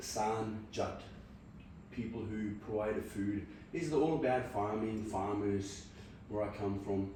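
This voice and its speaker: At a fairly slow pace with long, frequent pauses and fairly even intonation, the voice comes through audible room echo and noticeable background noise. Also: man, fairly low pitch for a man. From Punjab, India. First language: Punjabi. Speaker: podcaster. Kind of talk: casual chat.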